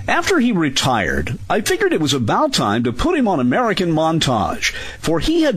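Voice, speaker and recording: Male speech amid noticeable background noise, with audible echo from the room. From Southern Indiana, US. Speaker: radio host. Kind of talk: scripted narration.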